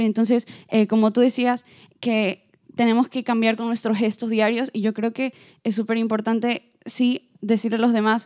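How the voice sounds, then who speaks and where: Against a quiet background, the speaker keeps a moderate pace with monotone, flat intonation. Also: woman. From Ecuador. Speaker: performing arts student. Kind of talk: audience question at round table. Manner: halting, many fillers. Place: stage.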